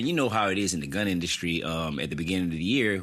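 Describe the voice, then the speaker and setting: A very deep, low-pitched man with a Louisiana accent and ordinary pitch variation. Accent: Southern US (Louisiana). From US South, Opelousas, Louisiana. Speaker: gun media personality. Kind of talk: podcast interview.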